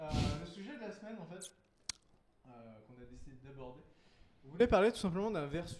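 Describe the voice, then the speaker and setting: A man with a high voice talks at a very fast pace in an animated tone, his intonation lively and his loudness swinging widely, with long, frequent pauses over noticeable background noise. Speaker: show host. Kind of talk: live panel show talk. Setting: studio with live chat stream. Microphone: microphone not working, sound cutting out.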